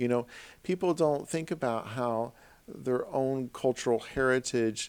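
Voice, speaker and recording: A man's medium-pitched voice, fairly slow, with ordinary pitch variation. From US Midwest, Southern Illinois. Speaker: university lecturer. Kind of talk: lecture. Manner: halting, many fillers.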